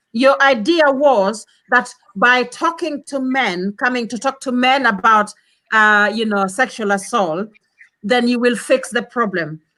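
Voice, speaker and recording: Loud, high-pitched woman's voice, bright and sharp, fairly slow, with ordinary pitch variation. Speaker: panel discussant. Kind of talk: heated debate.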